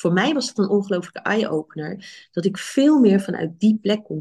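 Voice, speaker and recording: With a dark, mellow tone, a woman speaks at a moderate pace and sounds somewhat breathy. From Netherlands, Rotterdam. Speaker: physician and coach. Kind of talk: podcast interview. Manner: halting.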